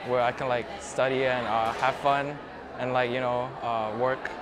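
There is noticeable background noise. A man speaks with monotone, flat intonation. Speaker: student. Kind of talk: interview. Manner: halting. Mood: grateful, reflective. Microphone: lapel.

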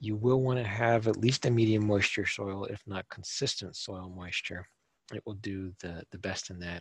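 A fairly quick, somewhat breathy man's voice of fairly low pitch and ordinary pitch variation, in a dry, close sound with no echo. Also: very clean recording, silent background. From Minnesota, US Midwest. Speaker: garden designer and speaker. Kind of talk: presentation. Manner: casual, with frequent fillers.

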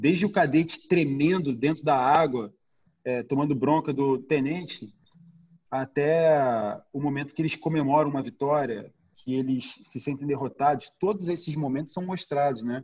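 With a Brazilian accent, a man talks at a moderate pace in a fairly high pitch with ordinary pitch variation. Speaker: documentary director. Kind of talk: casual interview.

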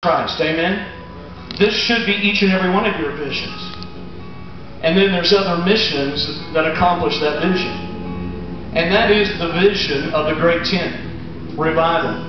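A man with a high pitch talks at a fairly slow pace. Audible room echo and noticeable background noise surround him. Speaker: pastor. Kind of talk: sermon to a congregation. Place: tent. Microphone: camera far.

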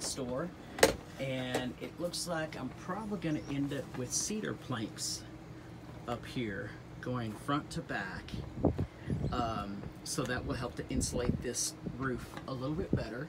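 A man's fairly slow speech with long, frequent pauses and ordinary pitch variation over loud background noise. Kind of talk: casual DIY vlog walkthrough. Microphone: phone near.

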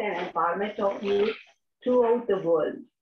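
The clip has a woman speaking with noticeable background noise. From India. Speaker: wellness consultant. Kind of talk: self-introduction. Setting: video call. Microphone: video call.

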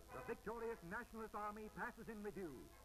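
Fairly quick speech with clear music in the background. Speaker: newsreel commentator. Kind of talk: newsreel narration. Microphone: old recording.

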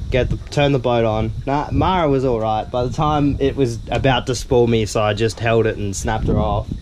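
Hardly pausing, a man talks at a moderate pace with ordinary pitch variation over noticeable background noise. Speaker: fishing vlogger. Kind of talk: casual vlog chat. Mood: amused, a bit flustered. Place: boat. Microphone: phone near.

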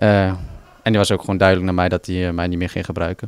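A man speaks in a dry, echo-free sound against a quiet background. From Netherlands, Overijssel (Dedemsvaart); Overijssel. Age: 20s. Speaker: footballer. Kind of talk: interview. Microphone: handheld.

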